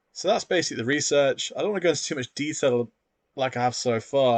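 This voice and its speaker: In a British accent, a man talks very fast at a medium pitch with lively intonation, recorded against a quiet background with a dry, close sound and no echo. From UK. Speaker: sport science academic and educational YouTuber. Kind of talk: tutorial. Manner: casual, conversational.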